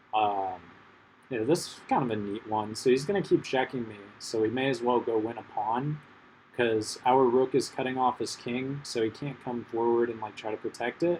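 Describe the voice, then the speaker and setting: A man speaks in a normal speaking voice. His pace is moderate. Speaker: chess content creator. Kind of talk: live gameplay commentary. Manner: casual, filler-heavy with many ums.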